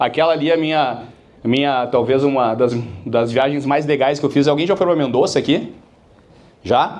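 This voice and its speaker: Amid audible room echo, a man with a Porto Alegre accent speaks at a moderate pace in a fairly high voice, with ordinary pitch variation, very even loudness, and long, frequent pauses. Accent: Porto Alegre (gaúcho) accent, retained. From Brazil, Porto Alegre (Rio Grande do Sul). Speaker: business speaker, sales company founder. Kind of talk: keynote talk to business audience. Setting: stage with live audience. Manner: casual, conversational, with many fillers.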